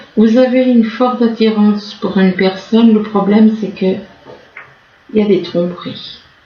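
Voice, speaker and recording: A woman's fairly high voice, broken by long, frequent pauses, over noticeable background noise. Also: fairly even intonation, moderate pace. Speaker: tarot reader. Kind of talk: tarot reading. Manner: halting.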